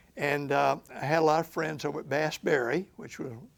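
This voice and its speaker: A man with a fairly high pitch and a Memphis accent. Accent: Southern US (Memphis, Tennessee). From US South. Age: 70s. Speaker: lawyer. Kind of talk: oral history interview. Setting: recorded interview in Memphis. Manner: halting.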